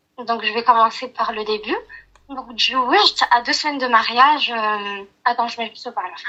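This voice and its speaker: The speech moves at a moderate pace with ordinary pitch variation and big swings in loudness. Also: woman, fairly high pitch for a woman. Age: 30s. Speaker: caller. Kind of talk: personal testimony on a phone call. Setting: phone call, on speaker.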